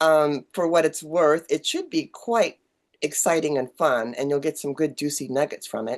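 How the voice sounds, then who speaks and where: Over a quiet background, a woman speaks at a moderate pace with a very deep, low pitch and ordinary pitch variation. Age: 60s. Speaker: online community owner and podcast host. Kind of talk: casual chat.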